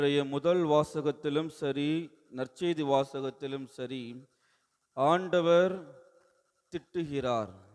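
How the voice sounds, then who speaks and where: A man with a plain, everyday voice speaks at a fairly high pitch, his intonation fairly even. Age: young. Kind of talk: sermon.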